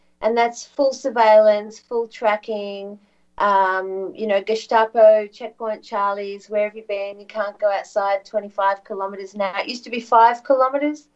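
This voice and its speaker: A woman speaks in a fairly high pitch with fairly even intonation and hardly any pauses. Her loudness shifts a lot. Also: moderate pace. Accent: Australian. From Australia, Victoria. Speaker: alternative media broadcaster, former journalist. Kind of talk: interview guest, political commentary. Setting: remote video/audio call.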